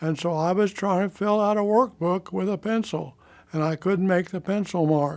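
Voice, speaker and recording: A high-pitched man with a Midwestern US accent on a very clean recording with a silent background. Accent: rural Midwestern American. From Kansas. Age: 90s. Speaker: polio survivor. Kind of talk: oral history testimony. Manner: halting, with false starts.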